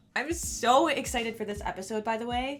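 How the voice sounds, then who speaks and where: A woman's fairly high-pitched voice at a moderate pace, with music in the background. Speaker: doll customizer and video creator. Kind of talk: tutorial.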